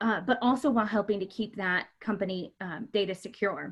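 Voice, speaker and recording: A woman talks at a moderate speed with ordinary pitch movement, the background quiet. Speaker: marketing manager hosting webinar. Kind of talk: webinar presentation. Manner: loud; hesitant with many fillers.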